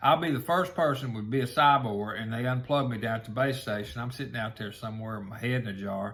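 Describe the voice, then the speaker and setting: This man talks at a fairly quick pace in an animated tone. His pitch is medium, with ordinary variation. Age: 60s. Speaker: online show host. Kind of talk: casual monologue.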